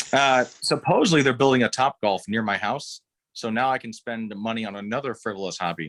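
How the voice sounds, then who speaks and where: In a very clean recording that sounds dry and close with no echo and a silent background, a man with an American accent speaks fairly quickly in an ordinary speaking voice, at medium pitch with ordinary pitch variation. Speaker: bourbon enthusiast. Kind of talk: casual chat.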